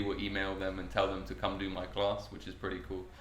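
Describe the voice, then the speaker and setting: Over noticeable background noise, a man talks at a fairly quick pace, and room echo can be heard. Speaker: cannabis cooking workshop host. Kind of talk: podcast interview.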